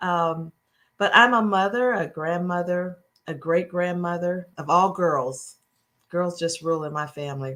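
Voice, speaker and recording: A woman with an American accent, fairly low in pitch with ordinary variation, a bright, sharp tone, and a fairly slow pace, on a very clean recording with a silent background. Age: 60s. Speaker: mayor. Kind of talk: town hall remarks.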